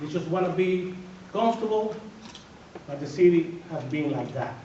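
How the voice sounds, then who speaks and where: Noticeable background noise and audible room echo surround a man speaking at a high pitch and a moderate pace, with ordinary pitch variation. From Dominican Republic. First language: Spanish. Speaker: political candidate, civil engineer and educator. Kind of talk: candidate forum speech. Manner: emphatic, repetitive; halting with repeated words.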